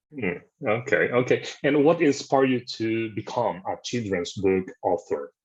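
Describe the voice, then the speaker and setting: A man with a non-native accent speaks at a fairly slow pace and medium pitch, with lively intonation, over a quiet background. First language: not English. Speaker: interviewer. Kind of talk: interview.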